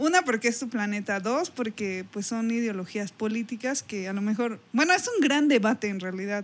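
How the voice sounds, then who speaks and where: A woman with a Mexican accent talks at a moderate pace with lively intonation and a fairly high pitch, barely pausing, over noticeable background noise. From Mexico. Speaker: podcast host. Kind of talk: casual chat.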